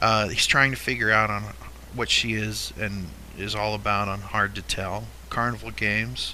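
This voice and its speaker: Fairly low-pitched male speech at a moderate pace, with ordinary pitch variation and audible room echo. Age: 50s. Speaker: podcast host. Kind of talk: casual chat.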